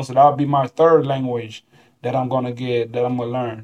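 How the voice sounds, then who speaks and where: A man talks at a moderate pace and medium pitch. He has an ordinary speaking voice with fairly even intonation. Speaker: overseas basketball player. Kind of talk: casual chat, podcast conversation.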